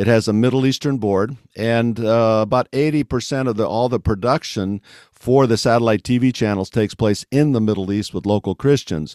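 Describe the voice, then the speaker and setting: In a plain, everyday voice, a man speaks at medium pitch and a moderate pace with ordinary pitch variation and hardly any pauses, the recording very clean with a silent background and a dry, close sound with no echo. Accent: American. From West Africa (American missionary kid). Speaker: mission organization executive. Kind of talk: interview.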